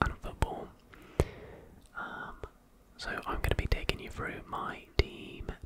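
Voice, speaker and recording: A whisper, fairly slow, over noticeable noise in the background. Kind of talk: ASMR whispered talk about fantasy football. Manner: whispered, soft-spoken.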